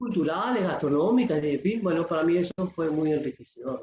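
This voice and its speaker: This man's voice is high-pitched. He talks at a fairly quick pace. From Uruguay. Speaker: poet and writer. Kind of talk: interview.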